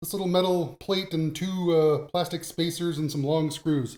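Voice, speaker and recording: Fairly high in pitch, this man has an unremarkable speaking voice. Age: 50s. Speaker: tech YouTuber. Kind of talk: casual talk to camera, hardware tutorial.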